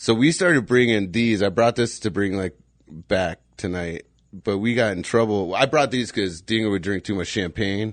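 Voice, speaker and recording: This man has an unremarkable speaking voice and a fairly low pitch with ordinary variation, in an American accent. He speaks at a moderate pace against a quiet background. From Phoenix area, Arizona. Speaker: podcast host. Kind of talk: casual chat.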